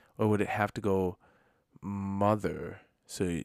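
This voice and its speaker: A man's very deep, low voice with an Upper Midwest accent, the sound dry and close with no echo, on a very clean recording with a silent background. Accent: Upper Midwest American. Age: 30s. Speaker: podcast co-host, pastor. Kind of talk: casual chat.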